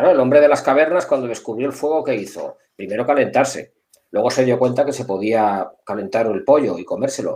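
With a dark, mellow tone, a man speaks at a fairly quick pace, medium pitch and ordinary pitch variation. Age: 50s. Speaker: security director. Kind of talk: interview. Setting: live video call.

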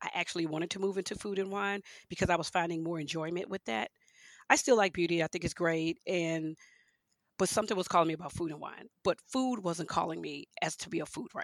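A woman with an American accent speaks at a very fast pace in a fairly low voice with ordinary pitch variation. The sound is dry and close, with no echo. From Houston, Texas and Louisiana. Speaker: wine writer. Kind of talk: interview.

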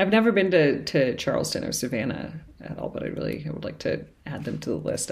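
A woman with an American accent talks at a very fast pace, her loudness swinging widely. Audible room echo fills the recording. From New England, Cambridge, Massachusetts. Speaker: painter. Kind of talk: casual interview. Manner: halting, many fillers and repetitions.

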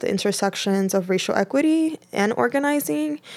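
A woman with an American accent, medium pitch, and a normal speaking voice talks at a moderate pace in a very clean recording with a silent background. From New York City, northern Manhattan (Dominican family). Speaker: food cooperative founder. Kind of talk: interview.

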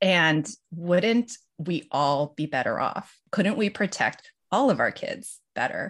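The background is quiet. A woman speaks with a fairly low pitch. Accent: American. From Los Angeles, US. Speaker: lawyer and podcast co-host. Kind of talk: casual interview chat.

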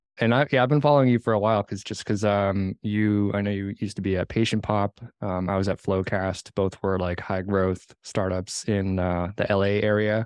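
A man speaks in a normal speaking voice with a fairly low pitch. His pace is moderate, with hardly any pauses and fairly even intonation. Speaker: podcast host. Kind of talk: casual interview.

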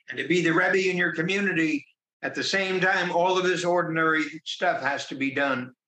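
A man's high-pitched voice at a fairly quick pace. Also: ordinary pitch variation. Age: 80s+. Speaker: business founder and author. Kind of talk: interview. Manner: emphatic, repetitive.

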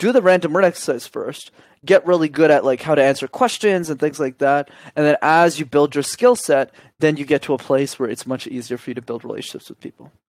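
A man with a Canadian accent at a very fast pace, fairly high in pitch, with ordinary pitch variation and big swings in loudness, in a dry, close recording with no echo, very clean and with a silent background. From Canada, Montreal. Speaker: communication coach. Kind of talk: interview.

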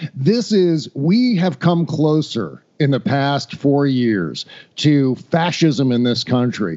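A man with an American accent and an unremarkable speaking voice talks at a fairly high pitch with lively intonation. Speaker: podcaster. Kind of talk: casual chat.

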